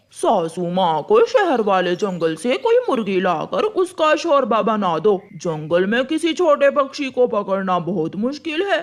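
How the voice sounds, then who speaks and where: Putting on a cartoonish character voice, a man talks at a fairly slow pace in a high pitch with hardly any pauses. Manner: wheedling, sly.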